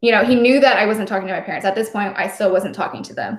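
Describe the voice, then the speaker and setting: Speaking with an American accent, a woman uses monotone, flat intonation. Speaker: former Jehovah's Witness. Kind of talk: interview.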